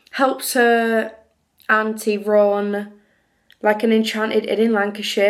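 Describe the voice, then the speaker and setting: A woman with a strong northern English accent, pitched fairly high, with audible room echo. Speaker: book youtuber. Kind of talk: casual vlog chat. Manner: chatty, informal.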